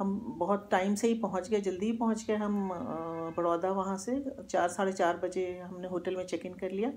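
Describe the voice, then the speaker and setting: Her tone is dark and mellow as the woman speaks at a moderate pace with fairly even intonation. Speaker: travel vlogger. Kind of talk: casual vlog chat. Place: home room. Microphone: phone near.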